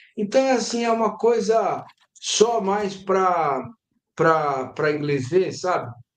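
Amid audible room echo, a man talks very slowly in a high pitch with very wide pitch swings. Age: 50s. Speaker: sports journalist. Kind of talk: casual chat. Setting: live stream.

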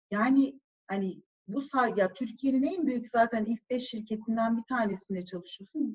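A woman's fairly high voice with lively intonation, at a moderate pace, in a dry, close sound with no echo. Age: 40s. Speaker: marketing executive. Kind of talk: casual chat. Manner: animated.

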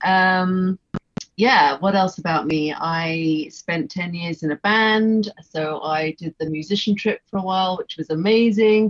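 With an English accent, the woman delivers her words at a fairly slow speed. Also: medium pitch for a woman, ordinary pitch variation. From England. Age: 50s. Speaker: visual artist. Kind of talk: casual interview chat. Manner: hesitant, many fillers.

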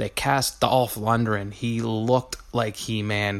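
A man with an ordinary speaking voice and a medium pitch talks at a fairly slow pace. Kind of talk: review rant.

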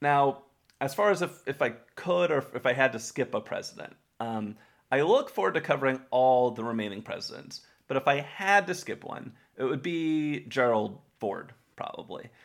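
A man with an American accent, fairly high pitch and an unremarkable speaking voice, lively intonation, moderate pace, on a very clean recording with a silent background. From Texas. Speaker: history podcast host. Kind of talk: casual chat.

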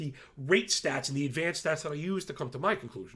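In a very clean recording with a silent background, a man speaks very fast with a fairly high pitch, a bright, sharp tone, and lively intonation. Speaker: fantasy football show host. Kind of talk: solo sports betting analysis show. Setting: studio recording for YouTube. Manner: energetic.

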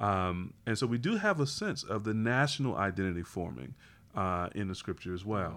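Lively intonation marks this man's a plain, everyday voice, which sits at a fairly low pitch. He talks at a moderate pace. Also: very clean recording, silent background. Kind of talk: casual podcast discussion.

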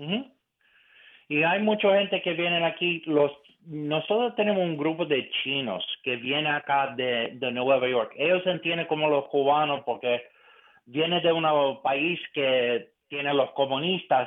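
The speaker has an American accent and talks at a fairly slow pace with ordinary pitch variation. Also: man, fairly high pitch for a man. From eastern Pennsylvania, US. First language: English (speaking Spanish). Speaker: conservative political analyst. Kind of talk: radio interview. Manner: halting.

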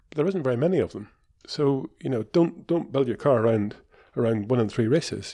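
Speaking at a fairly quick pace, a man has a medium pitch and a dark, mellow tone.

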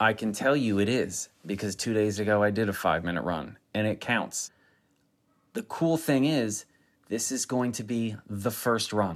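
In an unremarkable speaking voice, a man talks at a fairly slow pace with a fairly low pitch and ordinary pitch variation. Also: very clean recording, silent background. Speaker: running coach. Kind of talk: interview. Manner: motivational, encouraging.

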